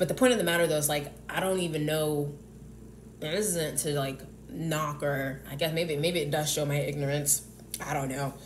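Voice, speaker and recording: A woman with an American accent, very deep, low pitch and fairly even intonation, with audible room echo and noticeable background noise. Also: moderate pace. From US South. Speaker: YouTuber. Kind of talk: casual monologue vlog. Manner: halting, many fillers and restarts.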